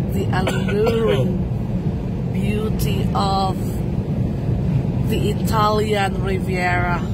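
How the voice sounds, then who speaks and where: The speech comes at a very slow pace. Loud background noise is present, and the sound is dry with no echo. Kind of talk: casual travel commentary. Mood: delighted, admiring. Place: car.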